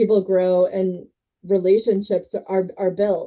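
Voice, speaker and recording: A woman speaks at a fairly slow pace. Her medium pitch stays monotone, with flat intonation. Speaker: sales director. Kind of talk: interview. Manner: loud.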